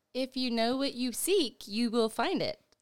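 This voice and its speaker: A put-on character voice, female-sounding and high-pitched, moves at a moderate pace. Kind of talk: archaic, formal. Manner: mysterious, cryptic, grim.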